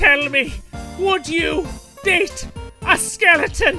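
Someone uses a put-on character voice at a very slow pace while clear music plays in the background. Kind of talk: comic dub. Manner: exaggerated, comedic.

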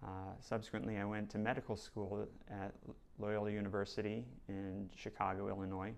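At a moderate pace, a man talks with a fairly low pitch. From New Jersey. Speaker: plastic surgeon. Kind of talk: self-introduction video. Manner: hesitant with fillers. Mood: calm, earnest. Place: studio. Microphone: lapel.

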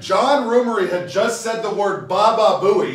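A man with a high-pitched voice is heard with audible room echo.

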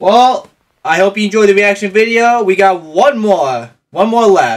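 A fairly slow pace against a quiet background. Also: man. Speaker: streamer. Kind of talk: casual reaction commentary. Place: home room.

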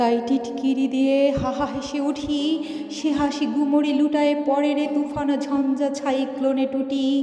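A woman speaks in a dramatic tone with a high pitch, holding a very even loudness and a monotone, flat intonation while music plays in the background. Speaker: poetry reciter. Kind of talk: poetry reading. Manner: dramatic, fiery.

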